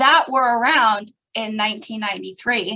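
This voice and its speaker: This woman's voice sits at a fairly high pitch and has a bright, sharp tone. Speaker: association staff speaker. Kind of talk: online presentation. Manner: fast.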